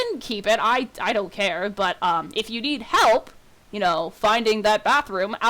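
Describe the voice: The recording consists of plain reading aloud.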